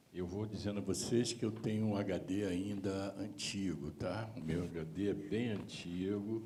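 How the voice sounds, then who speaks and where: Through audible room echo, a man speaks at a fairly slow pace, his voice fairly low-pitched and dark, mellow in tone. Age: 70s. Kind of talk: seminar panel talk.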